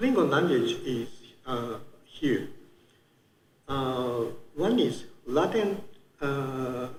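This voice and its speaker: A man with a Japanese accent talks at a fairly high pitch, somewhat breathy, with lively intonation. He goes at a very slow pace, and the room echo is audible. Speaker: conference speaker. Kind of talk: conference talk. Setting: conference room with audience. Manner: halting, many fillers.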